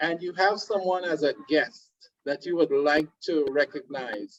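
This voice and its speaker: At a moderate pace, a man with a Trinidadian accent speaks in a warm tone. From Trinidad and Tobago. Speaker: webinar host, card product presenter. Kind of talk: online webinar presentation. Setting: video conference call. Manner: warm, welcoming.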